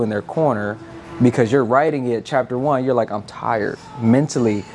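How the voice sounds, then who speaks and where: A man's fairly even intonation over music in the background. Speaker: podcast host. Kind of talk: podcast interview questions.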